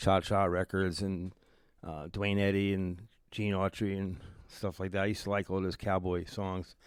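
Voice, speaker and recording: Speaking at a moderate pace in a very deep, low voice with monotone, flat intonation, this man is captured in a very clean recording with a silent background. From Philadelphia, northeast (Oxford Circle). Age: 70s. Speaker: music promoter. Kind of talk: radio interview.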